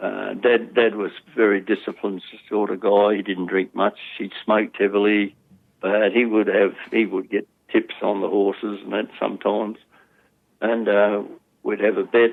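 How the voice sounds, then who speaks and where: In an Australian accent, a man with a fairly low pitch speaks at a moderate pace in a monotone, flat intonation, leaving long, frequent pauses. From Australia, Sydney. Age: 80s+. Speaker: former problem gambler, community educator. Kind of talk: interview testimony. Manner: halting.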